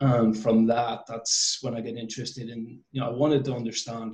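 A man at a moderate pace with fairly even intonation, audible room echo and a quiet background. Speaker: interview guest. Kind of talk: interview answer. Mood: relaxed, occasional laughs. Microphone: video call.

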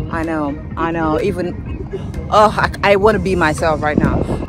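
A woman's voice sounds dry with no echo while clear music plays behind it. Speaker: travel vlogger. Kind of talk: casual vlog chat. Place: open country. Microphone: phone near.

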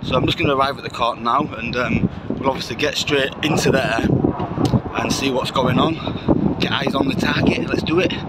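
The speech runs at a fairly quick pace over loud background noise, with a dry sound and no echo. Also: man. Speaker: vlogger reporting outside court. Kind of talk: casual vlog chat. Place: street. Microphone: phone near.

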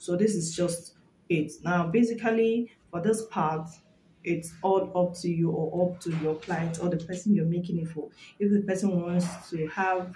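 A woman with an ordinary speaking voice talks at a moderate pace, her pitch fairly low and her intonation fairly even. Light background noise sits behind her. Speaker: hat-making trainer. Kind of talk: tutorial promo chat. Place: home room. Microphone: phone near.

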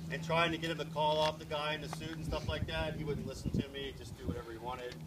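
A man speaks at a fairly quick pace while loud background noise fills the recording. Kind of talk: demonstration explanation. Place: street. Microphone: camera far.

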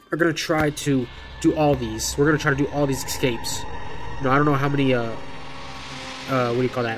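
Speaking at a very fast pace with ordinary pitch variation, this voice has clear music playing in the background. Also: man. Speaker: mobile gamer. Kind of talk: casual gaming commentary. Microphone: phone near.

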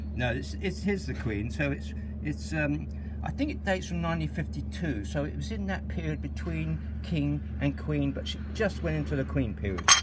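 Loud background noise fills the recording. The speech moves at a moderate pace. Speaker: mock auctioneer. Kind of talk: comedic mock auction patter, ad-libbed. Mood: dry, joking humour. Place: garden. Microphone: phone near.

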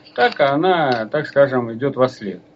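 A man is speaking. His intonation is lively. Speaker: folk culture researcher and author. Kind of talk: radio lecture with listener Q&A. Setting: live radio broadcast. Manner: halting, frequent filler sounds; formal. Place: studio.

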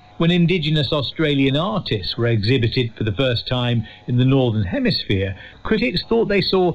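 A man speaks at a moderate pace in a fairly high voice with very wide pitch swings and very even loudness. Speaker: radio presenter. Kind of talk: scripted narration.

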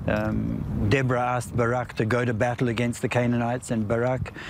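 At a moderate pace, a man speaks in a dry sound with no echo over noticeable background noise. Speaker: tour guide. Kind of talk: interview answer. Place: open country.

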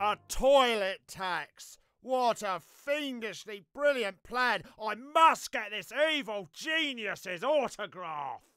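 The voice is raised and projected. It moves at a very slow pace. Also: man, high pitch for a man, lively intonation. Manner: theatrical, gushing.

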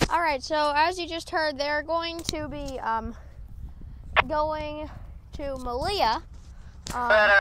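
Over loud background noise, a woman speaks at a very slow pace with ordinary pitch variation in a dry sound with no echo. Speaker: railfan narrator. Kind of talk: casual commentary. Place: open country.

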